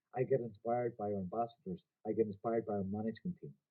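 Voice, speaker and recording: A man with a Donegal accent, medium pitch and very fast pace. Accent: Donegal Irish. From Ireland, Donegal. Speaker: company executive presenting a business opportunity. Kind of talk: business presentation. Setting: video presentation by a beach. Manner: animated.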